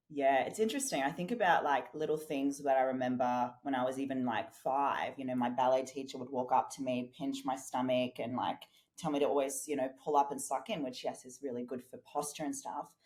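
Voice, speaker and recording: A woman with an Australian accent talks at a fairly quick pace with hardly any pauses. Her very deep, low voice keeps fairly even intonation. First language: German and Portuguese. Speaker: fitness and business coach. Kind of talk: podcast interview.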